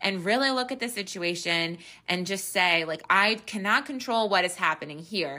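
At a moderate pace, a woman uses a normal speaking voice with medium pitch and lively intonation. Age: 30s. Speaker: podcast host, mother of three. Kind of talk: casual encouraging monologue. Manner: chatty, laughs often.

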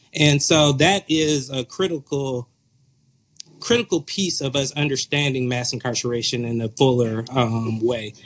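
A man with an American accent and an unremarkable speaking voice, medium in pitch, with ordinary pitch variation, a moderate pace and a dry, close sound with no echo. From US South, metro Atlanta. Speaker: author and pastor. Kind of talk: interview.

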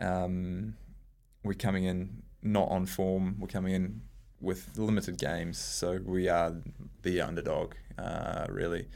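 Audible room echo surrounds a man speaking with a New Zealand accent in a very deep, low voice with ordinary pitch variation. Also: fairly slow pace. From New Zealand, rural Hamilton (Waikato). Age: 20s. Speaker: national team hockey captain. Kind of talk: interview. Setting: studio.

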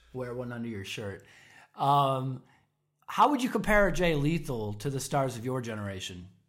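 Lively intonation and big swings in loudness mark a man's medium-pitched voice with an American accent. He talks at a moderate pace, with audible room echo. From Chicago suburbs. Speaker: podcast co-host. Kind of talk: casual interview chat.

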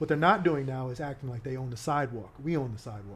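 A man's fairly high, somewhat breathy voice at a very fast pace, with ordinary pitch variation. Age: 40s. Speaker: activist and finance company owner. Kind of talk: casual interview.

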